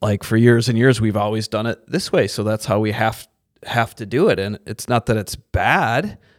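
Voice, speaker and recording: Here is a man with an unremarkable speaking voice, medium in pitch, fairly even in intonation, at a moderate pace. The recording is very clean, with a silent background and a dry, close sound with no echo. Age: 40s. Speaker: pastor. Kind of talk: casual chat.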